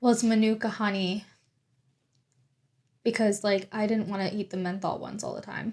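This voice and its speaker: Her voice sits at a medium pitch and is somewhat breathy. This woman's loudness swings a lot, and she takes long, frequent pauses. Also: moderate pace. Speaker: podcast co-host. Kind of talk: casual chat. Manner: animated.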